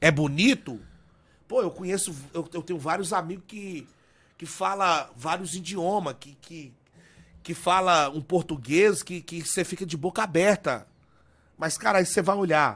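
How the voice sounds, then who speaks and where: A man's high-pitched voice at a fairly slow pace, broken by long, frequent pauses, on a very clean recording with a silent background. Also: ordinary pitch variation. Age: 30s. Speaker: pastor. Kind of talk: podcast interview. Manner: halting, frequent stammered repetitions.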